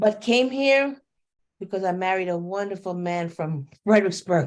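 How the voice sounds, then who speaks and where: With a New York accent, a woman talks at a moderate pace and medium pitch, her intonation lively. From New York City. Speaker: educator. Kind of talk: self-introduction at a book launch.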